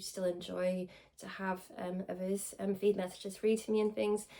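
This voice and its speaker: With a Welsh accent, a woman talks at a fairly slow pace and keeps her intonation fairly even. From Wales. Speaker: spiritual medium. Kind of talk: casual talk to camera. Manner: informal, hesitant with many fillers.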